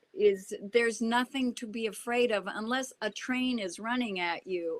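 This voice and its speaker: Speaking at a fairly slow pace, a woman has a normal speaking voice, fairly high in pitch with ordinary pitch variation. The sound is dry and close, with no echo. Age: 60s. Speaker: actress. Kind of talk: casual chat.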